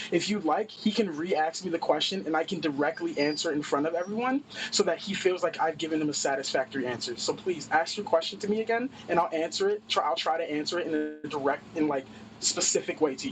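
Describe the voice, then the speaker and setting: Against noticeable background noise, a man talks at a very fast pace with a high pitch and ordinary pitch variation. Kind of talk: heated debate. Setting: in a work truck. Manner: loud, bombastic.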